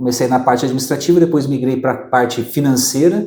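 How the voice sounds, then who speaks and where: The man's voice has a dark, mellow tone. His pitch sits in the medium range, and his intonation is fairly even. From southern Brazil (Maringá, Paraná). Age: 40s. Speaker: accountant and business consultant. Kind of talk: interview. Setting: office studio.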